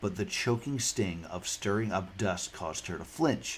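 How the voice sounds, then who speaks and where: Speaking at a moderate pace, a man talks with a fairly low pitch. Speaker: gaming streamer. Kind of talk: reading a game's story aloud with comments. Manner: sleepy.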